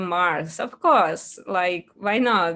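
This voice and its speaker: Heard in a very clean recording with a silent background, a woman with a non-native accent speaks with lively intonation. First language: not English. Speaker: 3D character artist. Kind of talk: interview. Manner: halting.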